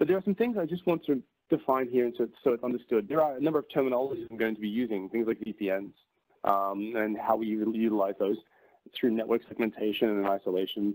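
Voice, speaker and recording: With an Australian accent, a man talks at a very fast pace and a medium pitch with ordinary pitch variation, the sound dry and close with no echo. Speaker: tech company presenter. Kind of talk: webinar presentation. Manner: frequent fillers and repetitions.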